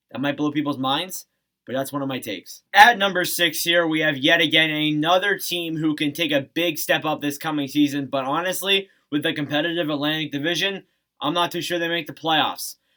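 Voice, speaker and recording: A man with a bright, sharp tone speaks in fairly even intonation on a very clean recording with a silent background. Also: fairly quick pace. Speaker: hockey commentator YouTuber. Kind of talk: casual sports commentary to camera.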